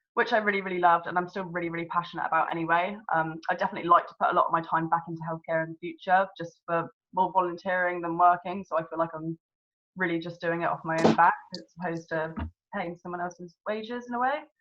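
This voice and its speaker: A very fast woman's voice in a southern English accent, fairly low in pitch, with big swings in loudness. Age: 20s. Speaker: network marketing consultant. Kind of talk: personal testimony. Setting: video call. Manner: enthusiastic.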